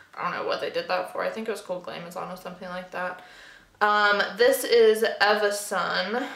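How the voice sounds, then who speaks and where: Talking at a fairly quick pace, a woman with a medium pitch is heard against audible room echo. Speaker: beauty youtuber. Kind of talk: makeup collection review. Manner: casual, filler-heavy.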